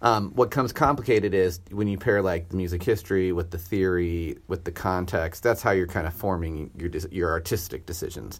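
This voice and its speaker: Fairly quick speech with hardly any pauses, a somewhat breathy quality and ordinary pitch variation. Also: man, very deep, low pitch for a man. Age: 40s. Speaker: orchestra conductor. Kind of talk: casual chat.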